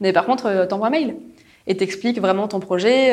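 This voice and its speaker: A woman talks at a fairly quick pace in an ordinary speaking voice, her pitch medium with ordinary variation. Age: 20s. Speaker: corporate innovation manager. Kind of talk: interview.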